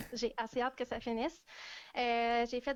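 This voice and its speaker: Fairly high in pitch, a woman speaks in a plain, everyday voice. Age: 20s. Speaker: hiking influencer and student. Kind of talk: casual interview on live stream. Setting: Facebook live video call.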